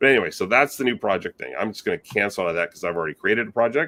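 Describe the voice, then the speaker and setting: A man is speaking. The sound is dry and close with no echo. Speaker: video editor presenter. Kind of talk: software tutorial presentation. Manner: fast.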